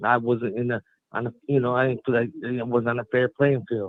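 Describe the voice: A man speaks at a medium pitch with little pitch movement. The sound is dry and close, with no echo. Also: fairly quick pace.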